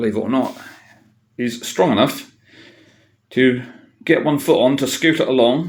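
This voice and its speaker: The speech is fairly slow, with ordinary pitch variation and long, frequent pauses. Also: man. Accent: Norfolk. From Norfolk, England. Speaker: tall bike builder and rider. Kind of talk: casual talk to camera. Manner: hesitant, many filler sounds.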